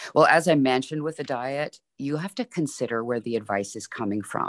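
A quiet background under a moderate pace. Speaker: fitness expert. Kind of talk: interview answers.

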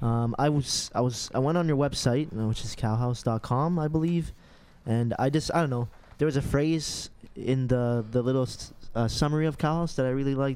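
The background is silent, and the recording is very clean. A man talks at a moderate tempo. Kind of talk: radio DJ patter, upbeat show intro. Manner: upbeat, high-energy, chatty, slangy.

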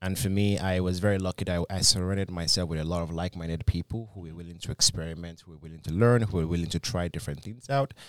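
A man with a Nigerian accent, very deep and low in pitch with ordinary pitch variation, very fast with hardly any pauses and big swings in loudness, on a very clean recording with a silent background. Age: 20s. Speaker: business coach. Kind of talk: podcast interview. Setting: studio.

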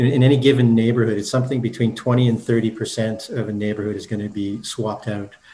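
Somewhat breathy and dark, mellow in tone, a man speaks with a Canadian accent at a medium pitch and fairly even intonation. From Canada, Manitoba (Brandon). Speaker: architect and university lecturer. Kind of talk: interview. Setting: remote call. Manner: halting, repeats words.

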